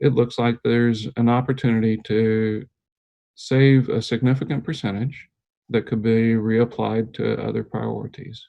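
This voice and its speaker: An unremarkable speaking voice from a man, medium in pitch, with fairly even intonation at a moderate pace. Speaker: energy services consultant. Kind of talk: presentation to school board. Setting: video call.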